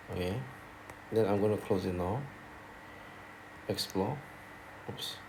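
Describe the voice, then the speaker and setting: Amid audible room echo, a man with a fairly low pitch and a somewhat breathy voice speaks with long, frequent pauses. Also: ordinary pitch variation, fairly slow pace. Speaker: math teacher. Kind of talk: tutorial.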